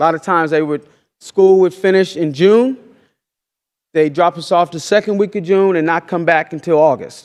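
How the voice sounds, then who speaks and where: A loud, high-pitched man's voice with an American accent, at a moderate pace, in a dry, close sound with no echo. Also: ordinary pitch variation. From Oklahoma. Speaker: farmer and educator. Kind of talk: lecture. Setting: stage with audience.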